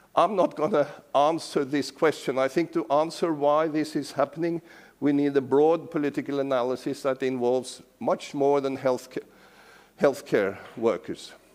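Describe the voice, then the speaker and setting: With a Norwegian accent, a man talks at a moderate pace in a fairly high voice with fairly even intonation. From Norway. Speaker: professor emeritus. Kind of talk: lecture.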